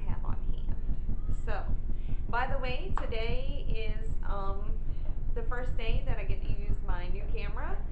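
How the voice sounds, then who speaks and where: Loud background noise fills the recording. Through it, a woman speaks at a fairly slow pace. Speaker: vlogger. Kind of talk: casual vlog chat. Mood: cheerful, laughing. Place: home room. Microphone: webcam.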